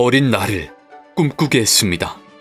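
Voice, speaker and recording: With music in the background, a man speaks fairly slowly at a medium pitch. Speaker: voice actor. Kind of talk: nostalgic documentary narration.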